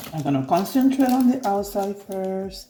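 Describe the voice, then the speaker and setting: The speaker talks in a Puerto Rican accent. Music plays in the background. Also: woman. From Puerto Rico. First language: Spanish. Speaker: crafter. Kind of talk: tutorial. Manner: halting, many fillers.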